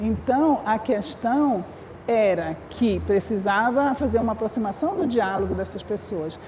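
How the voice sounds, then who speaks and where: A woman's fairly high voice with ordinary pitch variation and noticeable background noise. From northern Brazil, Amapá. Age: 60s. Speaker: communication researcher. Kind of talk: panel discussion. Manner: halting, many restarts.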